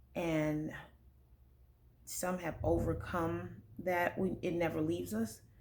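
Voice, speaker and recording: Over audible room echo, a woman speaks at a very slow pace with long, frequent pauses and very even loudness. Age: 30s. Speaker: vlogger sharing personal testimony. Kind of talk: testimony. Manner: serious; halting, many fillers.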